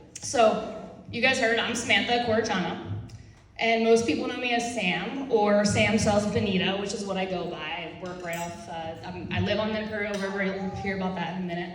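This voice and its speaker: With an American accent, a woman talks at a fairly quick pace and medium pitch with ordinary pitch variation, amid noticeable background noise and audible room echo. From northeastern Pennsylvania. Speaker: real estate agent. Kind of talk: speech to audience. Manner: fast.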